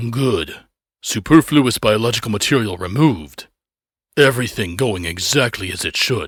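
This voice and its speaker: In a put-on character voice, the man holds a medium pitch and a moderate tempo. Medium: read story. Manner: eager, cold, delighted by cruelty.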